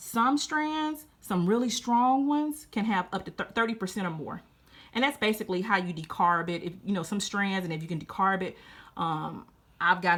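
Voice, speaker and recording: Animated and full of very wide pitch swings, a woman talks in a Louisiana accent in a very clean recording with a silent background. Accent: Southern US (Louisiana). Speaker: gardening youtuber. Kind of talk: casual tutorial.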